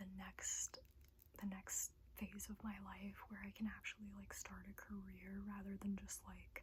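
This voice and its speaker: Soft-spoken and at a fairly slow pace, the voice comes through over noticeable background noise. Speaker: ASMR creator. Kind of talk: personal life update, casual talk.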